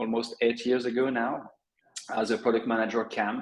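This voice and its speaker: Speaking with a French accent, a man keeps a moderate pace at a medium pitch. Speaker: affiliate network director. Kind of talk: webinar interview. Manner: hesitant, many fillers.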